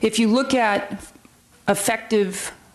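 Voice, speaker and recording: A woman with fairly even intonation on a very clean recording over a silent background. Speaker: sheriff's department lieutenant. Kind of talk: presentation to city council. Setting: council chamber on microphone. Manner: loud.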